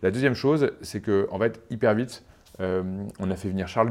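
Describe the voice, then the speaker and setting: In a normal speaking voice, a man with a fairly low pitch speaks at a moderate pace and with fairly even intonation. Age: 30s. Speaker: startup CEO and co-founder. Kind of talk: interview.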